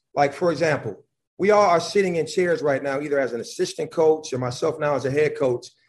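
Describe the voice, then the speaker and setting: A man with an American accent speaks at a fairly quick pace in a normal speaking voice, his fairly high pitch showing ordinary pitch variation. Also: quiet background. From Buffalo, New York. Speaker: college basketball head coach. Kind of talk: casual chat. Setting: video call.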